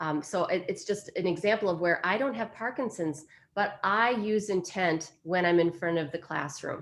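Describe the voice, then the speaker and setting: Using a normal speaking voice, the woman talks at medium pitch and a moderate pace, her pitch varying in an ordinary way. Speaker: speech-language clinician and university instructor. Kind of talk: informational webinar talk.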